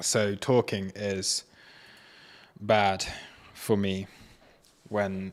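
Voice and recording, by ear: A man with a fairly low voice talks at a very slow pace with little pitch movement.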